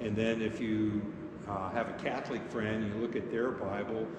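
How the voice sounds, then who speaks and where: Speech at a moderate pace comes through noticeable background noise and audible room echo. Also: man. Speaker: pastor teaching confirmation class. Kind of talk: lecture. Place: church.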